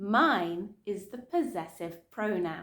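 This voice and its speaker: Very slowly, a woman with a southern English accent speaks at a medium pitch. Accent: Southern British English. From Southern England. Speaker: English teacher. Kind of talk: English lesson for beginners. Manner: slow, clear.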